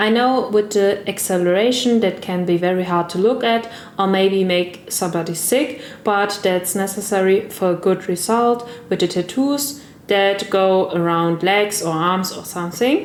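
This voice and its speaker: The speaker has a German accent and talks at a moderate pace with ordinary pitch variation. Noticeable background noise runs underneath. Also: woman, medium pitch for a woman. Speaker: gaming content creator. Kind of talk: tutorial voice-over. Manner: non-fluent, careful second-language speech.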